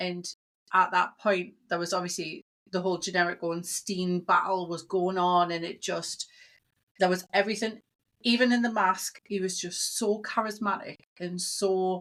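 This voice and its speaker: A woman in a British accent, monotone and flat, at a moderate pace, on a very clean recording with a silent background. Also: medium pitch for a woman. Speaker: comic-con promoter and wrestling fan. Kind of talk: casual chat.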